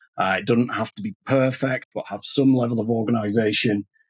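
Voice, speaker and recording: Talking at a fairly quick pace, a man with a Lancashire accent and medium pitch is heard in a dry, close sound with no echo. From northern England, Lancashire. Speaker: podcast host. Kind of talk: podcast interview.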